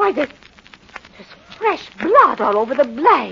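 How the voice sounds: A woman's put-on character voice, high-pitched with big pitch swings, bright and sharp in tone, with vocal fry and a husky, rough edge, delivered at a slow pace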